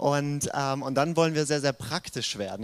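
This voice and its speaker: This man has a normal speaking voice and a fairly high pitch. He talks fairly fast, his intonation fairly even. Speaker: pastor. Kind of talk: sermon.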